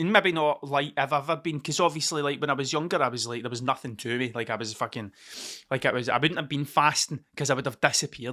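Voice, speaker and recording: In a very clean recording with a silent background, a man with a fairly high, bright, sharp voice speaks in an animated tone at a very fast pace, with ordinary pitch variation. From Scotland. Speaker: podcaster. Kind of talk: casual monologue. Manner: rambling, sweary and animated.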